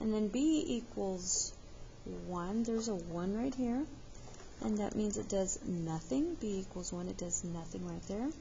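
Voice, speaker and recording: Audible room echo surrounds a somewhat breathy woman at a medium pitch. Her pace is fairly slow and her intonation lively. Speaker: math teacher. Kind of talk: tutorial.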